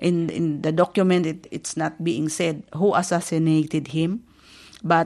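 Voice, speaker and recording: This woman speaks with a Filipino accent at a fairly low pitch. The background is quiet. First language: Filipino (Tagalog). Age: 50s. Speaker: community radio host. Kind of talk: radio talk on history. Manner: halting, many fillers.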